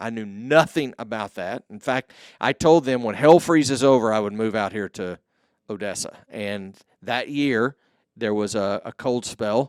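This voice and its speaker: A man with a Texan accent speaks at a fairly slow pace, his intonation lively and his loudness swinging widely. The recording is very clean and dry, close with no echo and a silent background. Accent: Texan American. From Texas, Mesquite near Dallas. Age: 50s. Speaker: podcast host and entrepreneur. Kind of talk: interview, answering questions.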